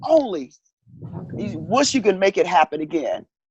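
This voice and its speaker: Her pitch is medium, and this woman talks at a moderate pace with very wide pitch swings and vocal fry. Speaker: counselor. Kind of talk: interview.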